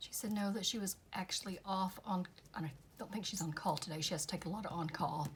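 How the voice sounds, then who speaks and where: Somewhat breathy and medium in pitch, a woman talks very fast with ordinary pitch variation. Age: 60s. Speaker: craft youtuber. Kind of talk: casual crafting tutorial.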